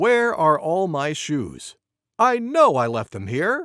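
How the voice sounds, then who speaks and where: A man uses a high, cartoonish character voice at a fairly slow pace. The recording is very clean, with a silent background. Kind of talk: bedtime story reading. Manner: gentle, clear, warm.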